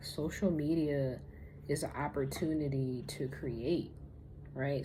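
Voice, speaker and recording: Audible room echo surrounds a monotone, flat delivery. The tone is dark and mellow and somewhat breathy. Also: woman. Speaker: spiritual lifestyle vlogger. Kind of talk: casual vlog monologue. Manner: slow.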